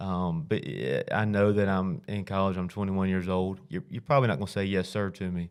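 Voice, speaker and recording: Speaking in a Southern US accent at a fairly quick pace with hardly any pauses, the voice shows ordinary pitch variation on a very clean recording with a silent background. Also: man, very deep, low pitch for a man. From Alabama (south). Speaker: high school football coach. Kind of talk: interview. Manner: conversational, with frequent fillers.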